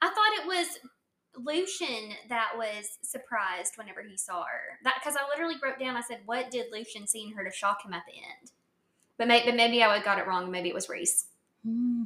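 At a moderate pace, the speaker uses lively intonation in a normal speaking voice. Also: woman, fairly high pitch for a woman, big swings in loudness. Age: 20s. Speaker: podcast co-host. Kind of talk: casual chat.

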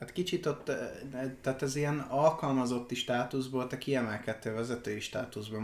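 A man speaks at a moderate pace with a medium pitch and fairly even intonation. Noticeable background noise sits behind him. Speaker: podcast host. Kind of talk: casual chat.

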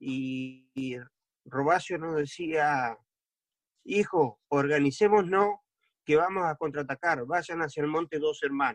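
A man's plain, everyday voice, fairly high in pitch for a man, with ordinary pitch variation and a fairly slow pace. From Argentina, Entre Ríos. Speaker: war veteran. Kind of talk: interview testimony. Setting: video call.

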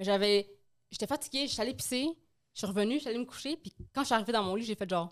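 A very fast pace broken by long, frequent pauses, with lively intonation, in a very clean recording on a silent background. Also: woman. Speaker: podcast co-host. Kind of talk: casual chat.

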